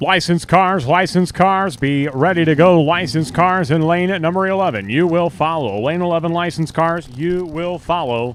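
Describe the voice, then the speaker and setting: Loud delivery at a moderate pace, ordinary pitch variation, hardly any pauses. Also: man, high pitch for a man. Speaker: drag racing track announcer. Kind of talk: live commentary; PA announcements to racers. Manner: loud, raised to carry over engines.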